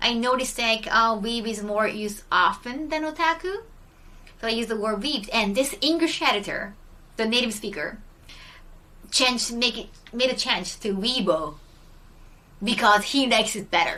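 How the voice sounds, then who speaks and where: A bright, sharp tone carries a Japanese accent and lively intonation. Long, frequent pauses break up the speech. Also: woman, fairly high pitch for a woman, moderate pace. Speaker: streamer. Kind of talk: casual chat. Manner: hesitant, many fillers.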